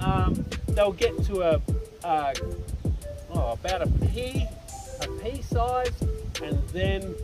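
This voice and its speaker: Clear music plays in the background as a man talks at a very slow pace with long, frequent pauses, the sound dry with no echo. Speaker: winery tour guide. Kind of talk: guided tour explanation. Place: open country.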